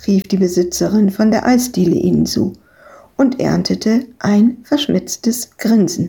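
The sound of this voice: The text is read in an unforced reading voice, and the pitch varies in an ordinary way.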